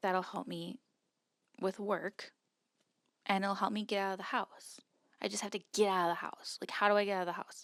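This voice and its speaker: The sound is dry and close, with no echo. Intonation stays monotone and flat on a very clean recording over a silent background. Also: woman. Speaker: vlogger and wedding photographer. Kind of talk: casual vlog monologue. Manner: rambling with many fillers.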